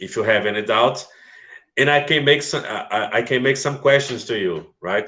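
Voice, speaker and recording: A man speaks with a Portuguese accent, and the room echo is audible. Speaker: English teacher. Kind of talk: online class lecture. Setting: live video stream. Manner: slow.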